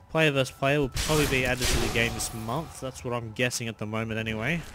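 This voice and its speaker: Fairly quick speech from a man with noticeable noise behind it. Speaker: gaming YouTuber. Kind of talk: gameplay commentary. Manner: casual, animated.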